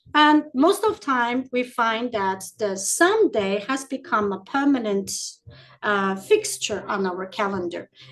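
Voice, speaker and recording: This woman talks at a fairly slow pace in a fairly high pitch. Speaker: entrepreneurship coach. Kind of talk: live-stream workshop. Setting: live stream on social media. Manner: halting, many fillers.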